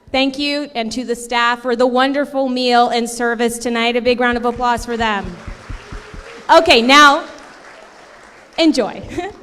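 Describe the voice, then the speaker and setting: A woman speaks loudly at a high pitch and a moderate pace, with fairly even intonation and long, frequent pauses. Music plays in the background, and room echo is audible. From Canada, Ontario (Cambridge), Portuguese immigrant family. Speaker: event host, TV entertainment presenter. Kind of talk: closing remarks at gala. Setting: stage with audience at gala.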